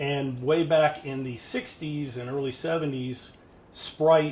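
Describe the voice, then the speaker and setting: This is a man's voice at medium pitch. His intonation stays fairly even. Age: 60s. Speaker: retired finance professional and amateur pilot. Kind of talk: casual interview. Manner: halting.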